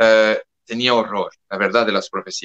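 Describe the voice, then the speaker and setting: A man with a French accent talks at a moderate pace at medium pitch. The sound is dry and close, with no echo. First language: French (speaking Spanish). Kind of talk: interview. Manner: halting, with self-corrections.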